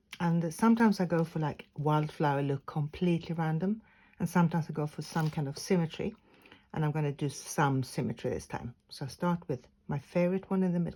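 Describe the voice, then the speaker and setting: Somewhat breathy and fairly low-pitched, a woman speaks at a fairly quick pace with ordinary pitch variation. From Sweden. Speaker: craft tutor. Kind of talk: tutorial.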